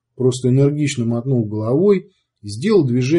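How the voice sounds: A natural reading voice with lively intonation and a quiet background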